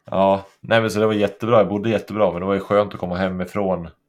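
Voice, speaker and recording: With a flat, monotone delivery, a man talks at a moderate pace in a fairly low voice on a very clean recording with a silent background. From Sweden, Årsunda (Gästrikland). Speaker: stand-up comedian and former elite cross-country skier. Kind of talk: casual chat.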